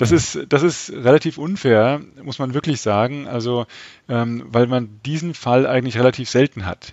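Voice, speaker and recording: The voice belongs to a man. Its rise and fall in pitch is ordinary. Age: 50s. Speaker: sociology professor. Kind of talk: interview. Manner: hesitant, many filler sounds.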